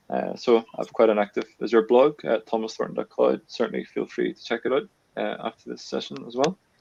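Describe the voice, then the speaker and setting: With a strong Northern Irish accent, a man speaks at a fairly quick pace, his loudness swinging widely in a dry, close recording with no echo. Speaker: cloud engineer. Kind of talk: webinar conversation. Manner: hesitant, with frequent fillers.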